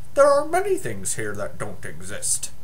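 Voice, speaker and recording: Against clear background noise, a man performs a put-on character voice at a moderate pace. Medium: read story. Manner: solemn, matter-of-fact.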